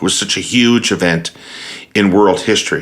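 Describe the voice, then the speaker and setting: A man speaks in an ordinary speaking voice at a fairly low pitch. His pace is fairly quick. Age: 60s. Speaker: podcast host. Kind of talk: interview.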